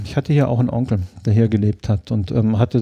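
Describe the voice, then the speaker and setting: Against a quiet background, a man talks at a fairly quick pace in a somewhat breathy voice with a dark, mellow tone. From southern Germany, Lake Constance area (Ravensburg). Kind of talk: interview. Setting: kitchen at home.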